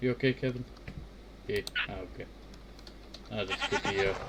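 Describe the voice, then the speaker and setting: A man talks at a fairly quick pace, and noticeable background noise can be heard behind him. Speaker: Minecraft let's play streamer. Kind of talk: casual gameplay commentary. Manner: soft-spoken.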